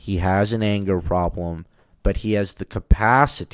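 On a very clean recording with a silent background, a man with a fairly low pitch uses fairly even intonation in a dry, close sound with no echo. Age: 30s. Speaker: podcast host. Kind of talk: casual monologue. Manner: halting, with fillers.

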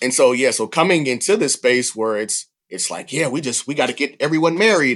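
Against a quiet background, a man with a Southern US accent talks at a fairly quick pace. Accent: Southern US (Georgia). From US South, Georgia. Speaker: refugee resettlement worker. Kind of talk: casual interview.

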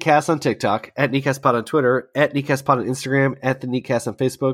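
A man does a raspy, put-on character voice in a dry, close sound with no echo. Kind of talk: podcast host promotional spiel. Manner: rattling off quickly.

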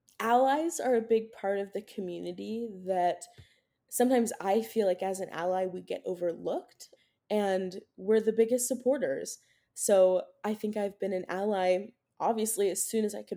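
A woman with an American accent speaks at a moderate pace in a dark, mellow tone. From US Midwest, Cincinnati area, Ohio. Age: 20s. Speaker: college student. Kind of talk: interview.

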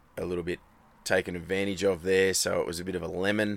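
A man talks with an Australian accent. His pitch sits fairly low. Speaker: rally motorcycle racer. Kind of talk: casual chat. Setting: in a van.

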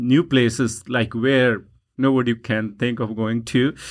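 A man's voice with a Punjabi accent. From Punjab, India. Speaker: dancer and social media personality. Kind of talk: interview. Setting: studio. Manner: warm, enthusiastic.

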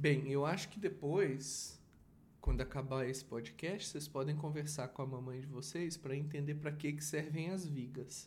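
Somewhat breathy and fairly high in pitch, a man speaks at a fairly slow pace with fairly even intonation and audible room echo. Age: 40s. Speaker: father and podcast host. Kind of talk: casual chat.

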